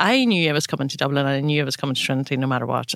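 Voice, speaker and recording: The speaker is a woman with a Northern Irish accent. The sound is dry and close, with no echo. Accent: Northern Irish (Tyrone). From Northern Ireland, County Tyrone. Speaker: pharmacy business owner. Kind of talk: interview conversation.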